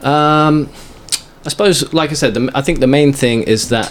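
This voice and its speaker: A man talks against noticeable background noise. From England. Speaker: long-distance runner and fitness vlogger. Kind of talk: casual interview.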